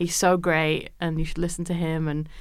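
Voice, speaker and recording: A woman speaks with a Yorkshire accent in a very deep, low pitch and a monotone, flat intonation. Audible room echo surrounds her voice. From Yorkshire, northern England. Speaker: jazz musician and producer. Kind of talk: interview. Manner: hesitant, many fillers.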